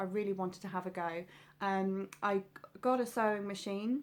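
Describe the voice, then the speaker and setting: The recording is very clean, with a silent background. A woman with a southern English accent speaks at a moderate pace and a medium pitch. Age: 30s. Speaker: sewing vlogger. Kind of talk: casual vlog talk. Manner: hesitant, many fillers.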